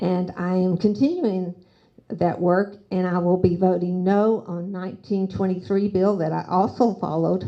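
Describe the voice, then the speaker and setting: A woman's medium-pitched, dark, mellow voice with a Southern accent, fairly even intonation and a moderate pace. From US South, Nashville. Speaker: city council candidate. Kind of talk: candidate forum speech.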